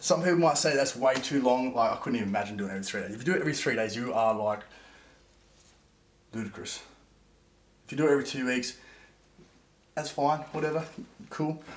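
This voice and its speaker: An energetic speaker talks at a very fast pace yet leaves long, frequent pauses, with audible room echo. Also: man, medium pitch for a man, ordinary pitch variation. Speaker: vlogger. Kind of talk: casual vlog. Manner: fast, energetic.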